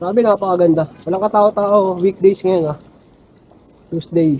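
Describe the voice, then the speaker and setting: The man's pitch is high and his tone dark and mellow. He keeps a moderate pace. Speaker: travel vlogger. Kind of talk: vlog narration. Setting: outdoors, cycling.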